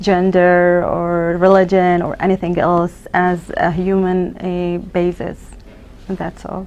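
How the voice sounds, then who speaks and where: Speaking at a very slow pace, a woman has an Arabic accent. Her pitch is medium. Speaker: emergency physician. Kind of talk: interview. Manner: halting.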